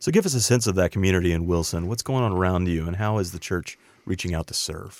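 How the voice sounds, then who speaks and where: On a very clean recording with a silent background, a man with a very deep, low voice talks at a very fast pace with ordinary pitch variation. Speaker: radio host. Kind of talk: interview introduction.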